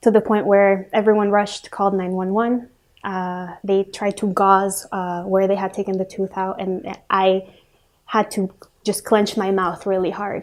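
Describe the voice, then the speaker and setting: The speaker has a Spanish accent and talks at a fairly slow pace. The recording is very clean, with a silent background. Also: woman. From Ecuador, moved to US at age 9. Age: 20s. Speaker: student sharing personal story. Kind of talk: personal testimony. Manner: hesitant, many fillers.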